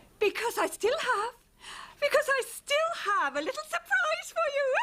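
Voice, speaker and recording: A female-sounding, put-on character voice, squeaky and extremely high-pitched, moves at a moderate pace in a theatrical tone. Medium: cartoon. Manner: theatrical, effusive.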